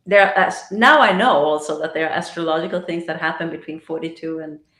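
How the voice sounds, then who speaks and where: Speaking very fast with fairly even intonation and big swings in loudness, a woman talks in a fairly low pitch. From Sweden. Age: 60s. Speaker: astrologer and life coach. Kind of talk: podcast interview.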